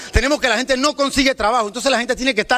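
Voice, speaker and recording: Raised and projected, a man's voice sits at an extremely high pitch, animated in tone with ordinary pitch variation. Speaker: student union representative. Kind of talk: public speech on pension reform. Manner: fast.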